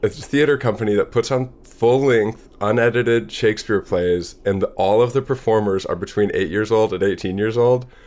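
A normal speaking voice from a man at medium pitch, with ordinary pitch variation, very even loudness, a moderate pace and hardly any pauses. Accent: American. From US Midwest, Madison, Wisconsin. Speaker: comedian and cartoonist. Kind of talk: casual chat.

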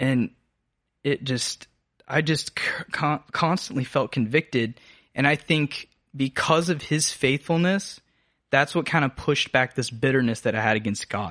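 A man with an American accent speaks at a moderate pace in a fairly high pitch, his tone bright and sharp, with long, frequent pauses over a quiet background and a dry, close sound with no echo. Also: ordinary pitch variation. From US South, North Georgia (Habersham County). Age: 20s. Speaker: college student podcast co-host. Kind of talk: casual chat, personal testimony interview.

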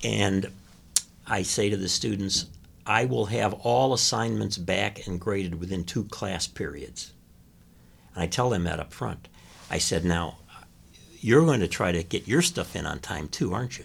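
A man with an American accent, very deep and low in pitch with vocal fry, at a moderate pace with long, frequent pauses, on a very clean recording with a silent background. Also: lively intonation. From US Midwest (Chicago). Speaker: retired communications professor, author. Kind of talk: interview.

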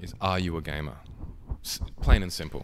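Speaking with an Australian accent, a man swings his pitch very widely. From Tasmania, Australia (Hobart). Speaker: podcast host, gamer and model. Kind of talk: casual chat.

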